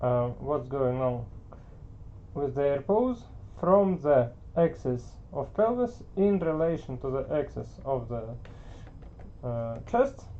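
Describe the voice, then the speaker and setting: At a very slow pace, with long and frequent pauses, the speaker talks with a non-native accent. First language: not English. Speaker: art teacher. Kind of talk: tutorial. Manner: hesitant, many filler words.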